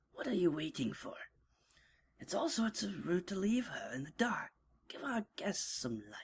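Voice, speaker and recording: Putting on a character voice at a medium pitch, a woman moves at a moderate pace with very wide pitch swings, big swings in loudness and long, frequent pauses. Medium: read story. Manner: brash, scolding.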